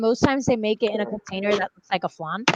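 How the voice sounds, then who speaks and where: A woman with a Puerto Rican accent is heard in a dry, close sound with no echo. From Puerto Rico. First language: Spanish. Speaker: book video host. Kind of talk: casual chat. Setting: live stream.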